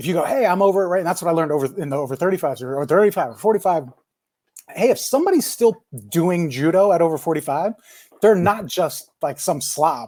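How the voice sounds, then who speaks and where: With a dark, mellow tone and lively intonation, the voice moves at a very fast pace. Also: man, high pitch for a man. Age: 40s. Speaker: brewery owner. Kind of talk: casual chat. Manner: animated.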